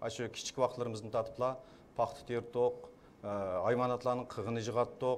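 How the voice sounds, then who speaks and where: Talking at a very fast pace, a man speaks with a Xinjiang accent. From Kashgar, East Turkestan (Xinjiang). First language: Uyghur. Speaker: poet and film director. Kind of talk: press conference testimony. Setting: press conference. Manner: halting.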